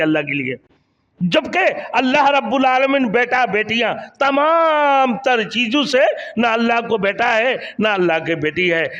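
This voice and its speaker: A man speaks at an extremely high pitch with very wide pitch swings. His tone is bright and sharp. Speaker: Islamic preacher. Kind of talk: Islamic sermon (bayan).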